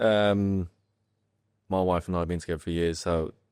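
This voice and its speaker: The voice moves at a fairly quick pace. The sound is dry and close with no echo, and the recording is very clean with a silent background. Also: man. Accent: northern English. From northern England. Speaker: footballer. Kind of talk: casual chat.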